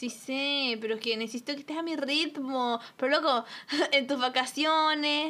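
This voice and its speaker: In a raised, projected voice, a woman with a high pitch and a bright, sharp tone talks at a fairly slow pace with fairly even intonation. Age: 20s. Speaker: podcast co-host. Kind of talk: casual chat.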